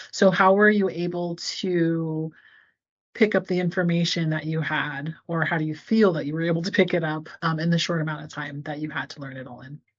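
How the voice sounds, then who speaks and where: In an ordinary speaking voice, a woman talks fairly quickly at a fairly low pitch, with fairly even intonation but big swings in loudness. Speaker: interviewer, podcast host. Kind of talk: interview questions.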